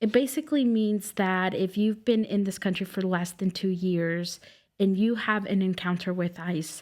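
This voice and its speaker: The speaker has a Spanish accent, a moderate pace and ordinary pitch variation. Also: woman, medium pitch for a woman. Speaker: immigration legal clinic director. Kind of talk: podcast interview.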